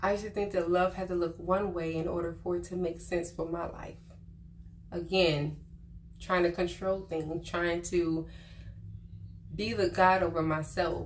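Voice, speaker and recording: Quiet and fairly low in pitch, a woman speaks at a moderate pace in monotone, flat intonation with long, frequent pauses and audible room echo. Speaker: vlogger giving life advice. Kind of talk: casual monologue to camera. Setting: on vacation, not at home. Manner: quiet, subdued.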